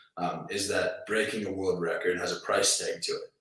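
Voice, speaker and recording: Audible room echo fills the recording. A man speaks at a moderate pace. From Canada. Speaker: strongman athlete. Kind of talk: interview. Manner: halting, many fillers and repeats.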